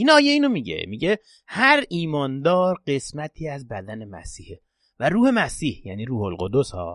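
Recorded with a dry, close sound with no echo over a quiet background, a man talks at a moderate pace with big swings in loudness. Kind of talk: religious podcast talk with prayers.

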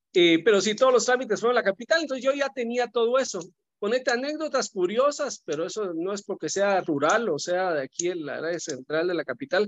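Talking at a fairly quick pace in a Guatemalan accent, a man uses a high pitch with very wide swings. The sound is dry and close with no echo, over a quiet background. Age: 50s. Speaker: businessman. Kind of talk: casual chat.

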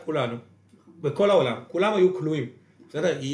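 A man speaks in a high voice. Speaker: podcast co-host, real estate entrepreneur. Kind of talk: casual interview. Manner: quieter than usual.

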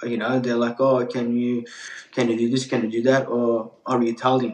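This man talks at a moderate pace in a medium pitch, his intonation flat and monotone. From Turkey, raised in Melbourne Australia. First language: Turkish. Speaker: pizza chef. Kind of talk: casual interview chat. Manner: casual, friendly.

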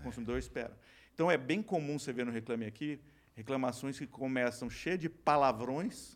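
It is a normal speaking voice with ordinary pitch variation, moving at a moderate pace. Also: man, medium pitch for a man. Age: 50s. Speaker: company co-founder and CEO. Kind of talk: casual interview. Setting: studio.

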